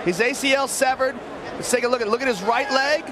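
Crowd noise sounds in the background as a man speaks. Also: dry sound with no echo. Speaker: fight color commentator. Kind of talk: live commentary. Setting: live arena event. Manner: animated.

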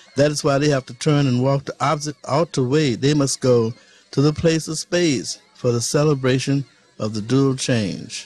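With music in the background, a man speaks at a fairly high pitch with fairly even intonation in a dry, close sound with no echo. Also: moderate pace. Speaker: poet and musician. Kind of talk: poetry reading. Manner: sincere, full of conviction.

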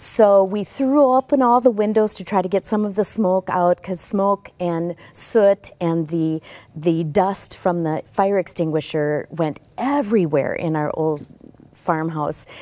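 A woman speaks at a fairly slow pace in a dark, mellow tone. Her intonation is lively. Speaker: talk show guest. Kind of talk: interview answer. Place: studio. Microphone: lapel.

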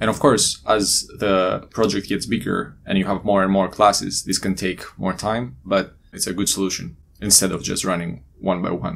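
A man with a low pitch and a fairly bright tone shows vocal fry and little pitch movement. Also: moderate pace.

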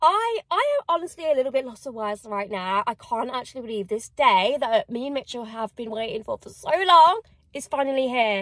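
Against a quiet background, a woman speaks at a moderate pace in a high pitch, the sound dry with no echo. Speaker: vlogger. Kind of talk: casual vlog chat. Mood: excited, emotional. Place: car. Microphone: phone near.

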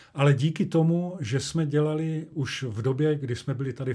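The recording is very clean, with a silent background. A man speaks fairly slowly in a dark, mellow, somewhat breathy tone. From Czechia, Olomouc (Moravia). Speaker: actor and dubbing director. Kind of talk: interview.

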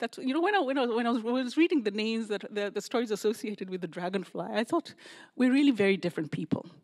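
A woman's very fast speech with lively intonation. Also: quiet background. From Kenya. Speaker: author. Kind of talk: lecture. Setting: stage with audience. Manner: halting. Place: hall. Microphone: handheld.

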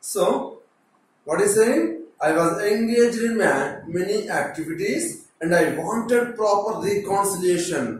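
Talking fairly slowly in a Telugu accent, a man uses a high pitch and lively intonation, with light background noise and strong room echo. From India, Telugu-speaking states. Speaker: teacher. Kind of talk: lecture. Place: classroom.

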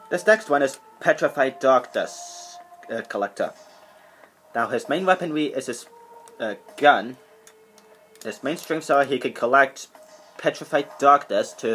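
A man talks at a fairly slow pace, with long, frequent pauses. Faint music plays in the background. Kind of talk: casual show-and-tell commentary. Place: home room. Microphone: webcam.

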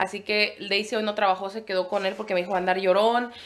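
The speaker talks at a very fast pace in an animated tone. Noticeable background noise runs underneath. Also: woman. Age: 20s. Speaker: family vlogger. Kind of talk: casual vlog talk to camera.

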